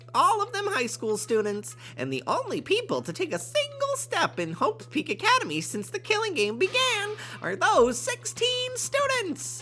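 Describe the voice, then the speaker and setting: Using a put-on character voice, a man speaks at a moderate pace over clear background noise. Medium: game stream.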